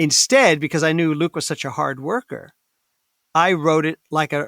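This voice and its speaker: A plain, everyday voice speaks at a moderate pace with ordinary pitch variation. The recording is very clean, with a silent background and a dry, close sound with no echo. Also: man, fairly high pitch for a man. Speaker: actor, voice actor, comedian. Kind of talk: interview answer.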